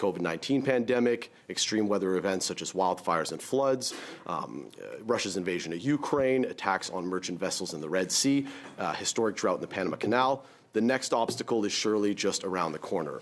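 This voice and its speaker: A man's fairly low voice with lively intonation. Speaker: business association executive. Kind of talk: parliamentary committee testimony. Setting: parliamentary committee hearing with interpretation. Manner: fast.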